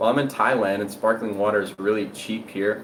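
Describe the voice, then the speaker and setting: A fairly low male voice against noticeable background noise. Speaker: health and diet content creator. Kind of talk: live stream Q&A. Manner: fast; casual, conversational.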